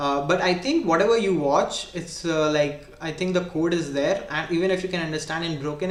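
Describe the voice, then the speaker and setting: With a strong Indian accent, a man talks at a moderate pace and fairly high pitch with ordinary pitch variation, amid noticeable background noise and audible room echo. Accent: heavy Indian. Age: 20s. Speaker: programming tutor / streamer. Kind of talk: live-stream coding tutorial. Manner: casual, hesitant with fillers.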